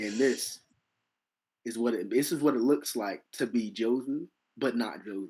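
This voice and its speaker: Speaking at a moderate pace with long, frequent pauses, a man has a dark, mellow tone and a medium pitch with ordinary pitch variation. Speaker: podcast co-host. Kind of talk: casual chat. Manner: repetitive, stumbling.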